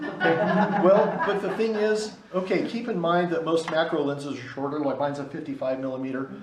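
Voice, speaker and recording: Over noticeable background noise and audible room echo, a man talks at a fairly quick pace with lively intonation. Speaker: photography instructor. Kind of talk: lecture. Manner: fast.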